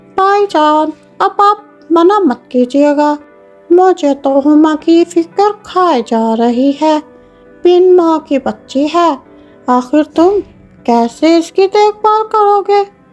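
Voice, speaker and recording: A woman uses a cartoonish character voice at an extremely high pitch with lively intonation. She speaks at a very slow pace over faint music in the background. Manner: two-faced, scolding.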